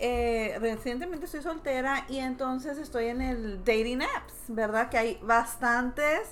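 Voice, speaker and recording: Against noticeable background noise, a woman speaks at a high pitch and a fairly slow pace. She has hardly any pauses and ordinary pitch variation. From Mexico. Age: 30s. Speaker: podcast guest. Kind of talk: casual chat.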